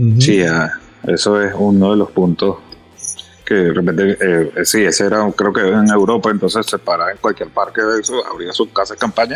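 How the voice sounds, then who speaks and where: Against noticeable background noise, a man talks at a moderate pace with a fairly low pitch and fairly even intonation. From Venezuela. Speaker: off-road outfitter. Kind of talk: podcast interview. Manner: halting, repeats words.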